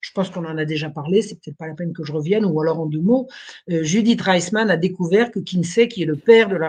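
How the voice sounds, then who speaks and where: Somewhat breathy and very fast, a woman speaks at a fairly low pitch with ordinary pitch variation. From France, Burgundy. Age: 70s. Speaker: historian and writer. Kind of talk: interview storytelling.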